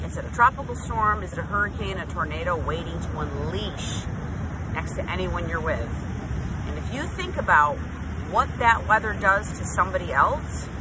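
Loud background noise runs behind the speech, though the sound itself is dry with no echo. A woman talks at a moderate pace. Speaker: speaker. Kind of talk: motivational vlog talk. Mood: earnest, emphatic. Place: beach. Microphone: phone near.

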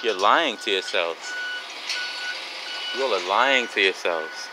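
Over clear background noise, a man speaks slowly at a fairly low pitch with lively intonation.

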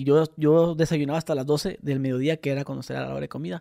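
Here a man talks at a fairly quick pace. His pitch varies in an ordinary way against a quiet background. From Mexicali, Baja California, Mexico. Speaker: podcast co-host. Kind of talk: casual chat. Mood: relaxed, joking storytelling. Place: home room. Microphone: studio mic.

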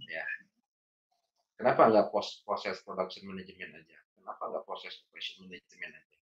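The loudness swings widely throughout. Behind the voice, the background stays quiet. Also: man, fairly quick pace. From Bandung, West Java, Indonesia; West Java, Indonesia. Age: 40s. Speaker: trainer and consultant; trainer. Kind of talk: training lecture. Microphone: video call.

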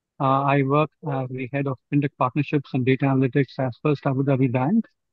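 A man's flat, monotone delivery at a fairly quick pace, dry with no echo, against a quiet background. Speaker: event judge. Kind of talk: self introduction. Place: home room. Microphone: video call.

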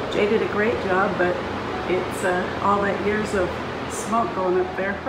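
Amid loud background noise, a woman speaks at a fairly slow pace. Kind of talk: casual vlog chat. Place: home room. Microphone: phone near.

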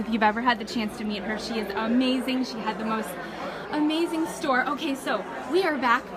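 Crowd noise fills the background as a woman talks with an American accent. Her pitch is fairly high, with ordinary variation. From Marco Island, Florida; Florida. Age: 30s. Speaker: shell crafter and online group host; online group host. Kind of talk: live video tour. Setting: shell show in a church hall. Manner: animated. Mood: enthusiastic, warm. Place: hall. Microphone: phone near.

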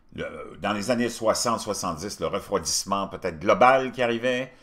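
A man speaks fairly slowly, with little sound behind him. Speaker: commentary show host. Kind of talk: commentary.

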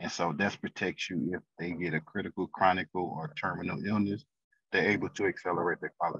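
Against a quiet background, a man with an American accent and a very deep, low voice speaks at a fairly quick pace. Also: ordinary pitch variation, dry sound with no echo. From St. Louis, Missouri; Missouri. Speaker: financial consultant; podcast guest. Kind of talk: interview. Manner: halting, many fillers. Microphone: video call.

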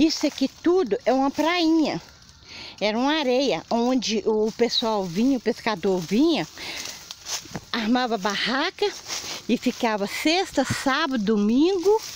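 A woman speaks in a high voice with very wide pitch swings, at a fairly slow pace with long, frequent pauses. Her loudness stays very even over noticeable background noise. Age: 60s. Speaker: affected resident. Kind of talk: interview testimony.

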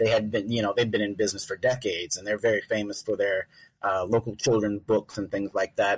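A man speaks at a fairly low pitch, somewhat breathy. The sound is dry and close, with no echo. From Louisiana, about an hour south of New Orleans. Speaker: novelist. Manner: hesitant, many fillers.

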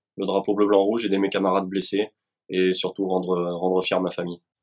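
A fairly low-pitched male voice against a quiet background. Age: 30s. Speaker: soldier, wounded veteran; guest. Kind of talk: testimony. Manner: halting, many repetitions. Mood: earnest, hesitant, emotional topic. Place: home room. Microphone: video call.

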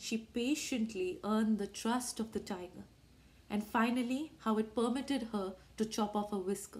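The clip is plain reading aloud.

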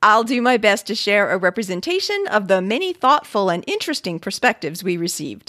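A woman speaks with an American accent at a fairly quick pace, with hardly any pauses, at a medium pitch and with lively intonation. The sound is dry and close with no echo, and her tone is bright and sharp. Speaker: podcast co-host. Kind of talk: reading aloud listener mail.

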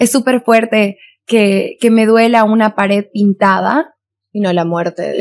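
The speaker is a woman. She keeps a moderate pace. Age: 20s. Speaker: beauty pageant contestant and activist; podcast guest. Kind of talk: casual chat. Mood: earnest, indignant on violence. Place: studio. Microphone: studio mic.

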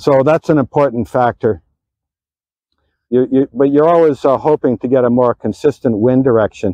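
The sound is dry and close with no echo as a man speaks at a medium pitch and a moderate pace. His tone is dark and mellow, with ordinary pitch variation.

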